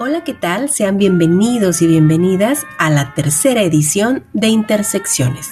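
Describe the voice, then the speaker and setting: Music plays in the background as a woman speaks at a fairly slow pace. Her medium-pitched voice has a warm tone and very wide pitch swings. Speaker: radio host. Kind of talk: radio literary program hosting. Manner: warm, conversational.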